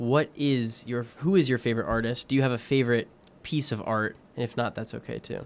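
With a normal speaking voice at medium pitch, a man talks at a fairly quick pace and with fairly even intonation. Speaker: college podcast host. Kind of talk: casual interview chat.

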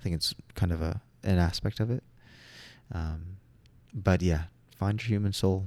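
Somewhat breathy speech with an American accent, fairly even intonation, a moderate pace and long, frequent pauses, on a very clean recording with a silent background. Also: man, very deep, low pitch for a man. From Southern California. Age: 20s. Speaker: social work student and aspiring nature therapist. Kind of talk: casual interview conversation.

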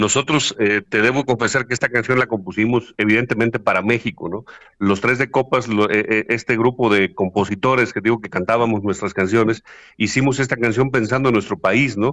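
Recorded dry and close with no echo against a quiet background, a man talks at a medium pitch with fairly even intonation. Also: fairly quick pace. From Mexico, Huasteca region of Hidalgo. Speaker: singer-songwriter. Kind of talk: interview. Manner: halting with many fillers.

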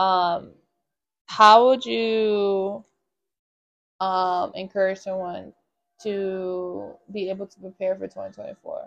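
At a very slow pace and a medium pitch, a woman speaks with ordinary pitch variation and long, frequent pauses. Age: 20s. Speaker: podcast co-host. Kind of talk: casual chat.

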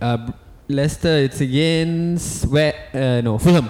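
The intonation is lively and the pace moderate. Noticeable background noise sits behind the speech. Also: man. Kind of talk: casual chat.

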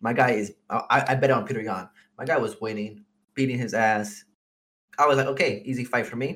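Fairly even intonation and a fairly quick pace mark this normal speaking voice. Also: man, medium pitch for a man. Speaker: podcast co-host. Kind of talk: casual chat.

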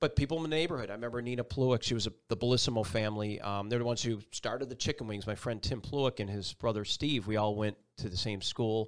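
A man with an American accent talks very fast, with ordinary pitch variation. The recording is very clean, with a silent background. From Buffalo, New York. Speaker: TV meteorologist. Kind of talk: casual interview. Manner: animated.

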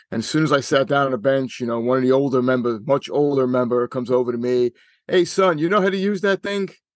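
A man's very fast, lively-intoned speech at medium pitch against a quiet background. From New York City, Staten Island. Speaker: regional director of a shooting sports association. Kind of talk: interview. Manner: hesitant, many fillers.

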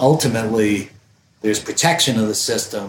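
A man speaks with an American accent. He uses a normal speaking voice. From Vermont, US. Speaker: electrical engineer. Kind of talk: casual chat.

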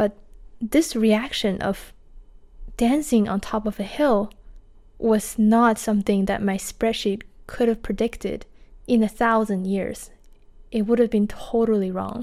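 In a Chinese accent, a woman with a fairly high pitch and a dark, mellow tone speaks at a fairly slow pace with fairly even intonation and long, frequent pauses. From China. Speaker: podcaster, laid-off tech worker. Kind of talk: personal storytelling monologue.

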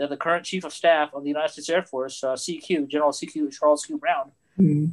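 A fairly high pitch marks this man's voice. He talks very fast. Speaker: pilot and aerospace engineer. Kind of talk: panel discussion. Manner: self-deprecating.

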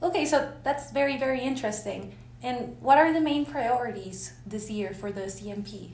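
Loudness swings widely in this moderately paced speech, which carries audible room echo. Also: woman. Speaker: youth delegate interviewer. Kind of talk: interview. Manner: hesitant, filler-heavy.

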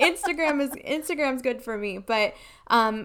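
A woman talks in a plain, everyday voice at a moderate pace. Her pitch varies in an ordinary way. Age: 30s. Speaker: network marketing businesswoman. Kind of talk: interview, personal testimony.

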